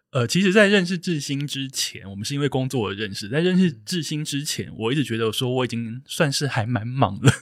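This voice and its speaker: A man speaks fairly quickly at a medium pitch, with hardly any pauses. His intonation is lively and his tone animated. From southern Taiwan, Kaohsiung. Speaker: podcast host. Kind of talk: casual interview chat. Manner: animated, laughs often.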